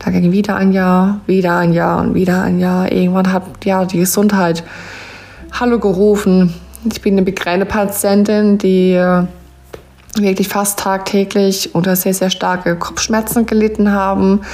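Against noticeable background noise, a woman speaks at a medium pitch and a fairly slow pace. Her intonation is monotone and flat, with long, frequent pauses. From Palatinate (Pfalz), southwestern Germany. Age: 20s. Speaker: podcaster and network marketer, mother. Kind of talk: personal storytelling and motivational talk.

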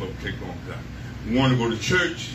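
Words come at a very fast pace. Behind them is noticeable background noise. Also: man. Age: 60s. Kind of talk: sermon. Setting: church camp meeting with congregation. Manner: animated.

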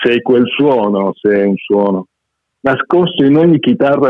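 A man has an unremarkable speaking voice with lively intonation. He talks at a fairly slow pace. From Argentina. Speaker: poet and short story writer. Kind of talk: reading aloud; casual chat.

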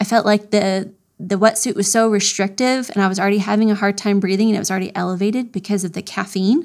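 With an American accent, a woman speaks at a fairly quick pace and medium pitch in an ordinary speaking voice. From Florida. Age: 40s. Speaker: triathlete. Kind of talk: interview.

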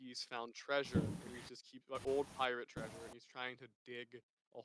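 Reading aloud in a natural voice, against a quiet background

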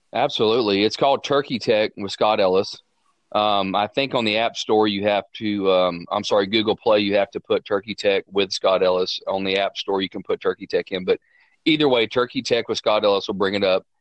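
A man is heard against a quiet background. The sound is dry and close, with no echo. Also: fairly even intonation, fairly quick pace. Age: 40s. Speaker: turkey calling champion and hunting guide. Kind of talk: casual interview.

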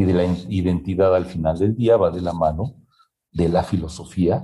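Very deep, low-pitched man's voice, somewhat breathy, with a dark, mellow tone, at a fairly slow pace. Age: 50s. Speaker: human resources executive. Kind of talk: interview.

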